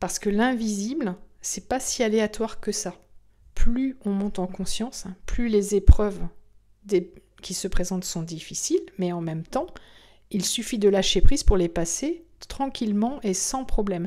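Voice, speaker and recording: Calm and dark, mellow in tone, a woman at a medium pitch speaks fairly slowly with long, frequent pauses, ordinary pitch variation and big swings in loudness. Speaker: spiritual medium and podcast host. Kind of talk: spiritual podcast monologue.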